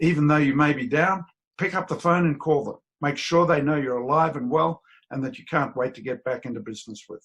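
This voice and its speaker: Speaking fairly quickly with an Australian accent, a man has a fairly high pitch and big swings in loudness. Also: ordinary pitch variation. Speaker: business owner. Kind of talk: business talk to camera.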